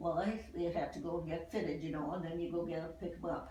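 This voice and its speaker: With an American accent, a woman talks at a fairly quick pace in a fairly low pitch amid noticeable background noise. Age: 80s+. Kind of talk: interview answer.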